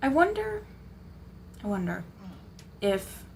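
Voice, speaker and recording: A woman mumbles as she speaks. Audible room echo surrounds her voice. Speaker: gaming streamer. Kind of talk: live gameplay commentary. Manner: mumbling a little.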